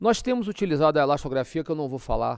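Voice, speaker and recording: Recorded with a dry, close sound and no echo, a man speaks in a fairly high pitch with ordinary pitch variation. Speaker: physician lecturing on ultrasound. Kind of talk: lecture. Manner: slow.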